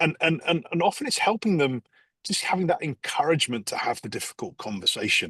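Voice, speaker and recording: A man at a very fast pace with an English accent, in a dry, close sound with no echo. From England, London. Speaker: executive coach. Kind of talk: podcast interview. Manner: halting, many fillers.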